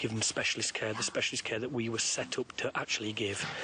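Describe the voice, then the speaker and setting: With noticeable background noise, a man whispers at a fairly quick pace. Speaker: wildlife conservationist. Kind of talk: interview. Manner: whispering.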